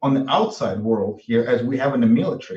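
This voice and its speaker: With a Russian accent and lively intonation, a man speaks at a medium pitch and moderate pace in a somewhat breathy voice. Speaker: military veteran. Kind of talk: panel discussion. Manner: halting.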